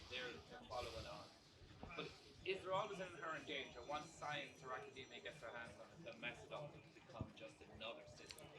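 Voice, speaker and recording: Over noticeable background noise, a man talks at a fairly quick pace with lively intonation. His pitch sits fairly high. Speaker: audience member. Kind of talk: audience question. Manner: loud. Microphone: no mic, shouting from audience.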